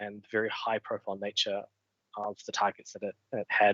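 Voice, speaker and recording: A man is speaking. He has a New Zealand accent. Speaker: cybersecurity consultant. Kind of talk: technical presentation. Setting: online meetup livestream.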